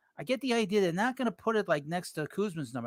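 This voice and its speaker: The speech is very fast, with a New York accent and lively intonation. The sound is dry and close with no echo, on a very clean recording with a silent background. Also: man. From New York City. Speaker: baseball podcast host. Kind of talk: live stream sports talk. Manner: casual, hesitant with fillers.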